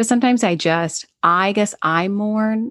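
In a very clean recording with a silent background and a dry, close sound with no echo, a woman with an American accent talks at a fairly slow pace in an animated tone. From US, Washington DC area. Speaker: podcast host, mother and military spouse. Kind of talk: casual interview chat. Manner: animated, laughs often.

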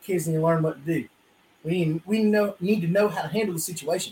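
A man speaks in a Southern US accent. His pitch is high. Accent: Southern US (Georgia). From US South, South Georgia. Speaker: podcast co-host. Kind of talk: casual chat. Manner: animated.

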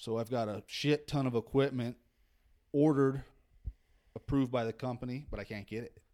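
With an American accent, a man of medium pitch and dark, mellow tone talks at a fairly quick pace with fairly even intonation, big swings in loudness, and long, frequent pauses. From Northern California (Redding). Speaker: golf course superintendent. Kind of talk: casual chat. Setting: rental house at a seminar.

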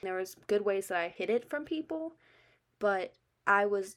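On a very clean recording with a silent background, a woman has an ordinary speaking voice and keeps a moderate pace. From military family, moved around US and Germany. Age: 20s. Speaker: podcaster and college student. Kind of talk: casual monologue.

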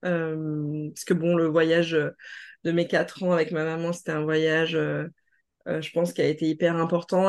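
A woman's fairly low voice, very slow and with monotone, flat intonation, against a quiet background. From mainland France. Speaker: naturopath and inclusivity trainer. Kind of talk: interview conversation. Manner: hesitant, many fillers.

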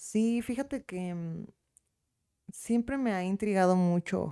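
A woman with a Mexican accent speaks at a fairly slow pace, at a medium pitch with ordinary variation and a dark, mellow tone. The sound is dry and close with no echo, and the recording is very clean with a silent background. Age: 20s. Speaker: lawyer. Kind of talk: casual interview.

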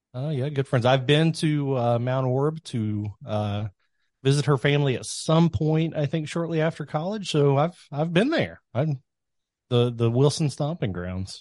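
There's a quiet background as a man with a Kentucky accent speaks in a fairly high pitch. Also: lively intonation, fairly slow pace. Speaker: podcast host. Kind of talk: casual chat.

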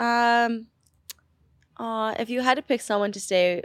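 A woman's voice with ordinary pitch variation and a dry, close sound with no echo. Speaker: podcast guest, host's sister. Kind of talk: casual chat. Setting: studio. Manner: quiet.

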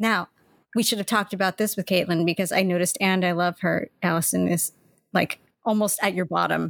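Vocal fry colors a fairly quick delivery with fairly even intonation and very even loudness. The recording is very clean with a silent background and a dry, close sound with no echo. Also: woman, medium pitch for a woman. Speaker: podcast host. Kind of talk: casual chat.

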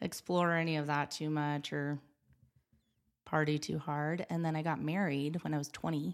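Here a woman with an American accent has a very deep, low pitch. Her intonation stays monotone and flat. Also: moderate pace, very clean recording, silent background. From Wyoming, US (Gillette). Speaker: photographer. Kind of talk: casual chat. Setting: studio.

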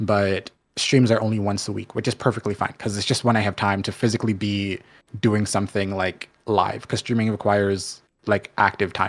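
In a very clean recording with a silent background, a man with a Canadian accent talks at a moderate pace in a fairly low pitch, his intonation monotone and flat. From Canada, Jamaican family. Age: 20s. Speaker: Twitch streamer. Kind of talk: casual chat.

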